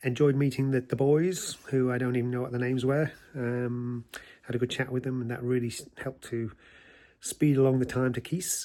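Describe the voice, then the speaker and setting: Medium-pitched male voice, dark and mellow in tone, at a moderate pace with fairly even intonation. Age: 60s. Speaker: long-distance walker vlogger. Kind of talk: casual video diary. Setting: outdoors.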